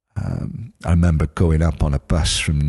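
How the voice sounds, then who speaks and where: This man speaks in a South Wales accent with fairly even intonation. The sound is dry and close with no echo. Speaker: music journalist. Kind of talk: casual chat.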